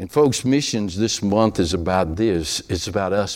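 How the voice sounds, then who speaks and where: This man speaks with a Southern US accent. His pitch is very deep and low. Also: very clean recording, silent background. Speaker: preacher. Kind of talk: sermon. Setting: church.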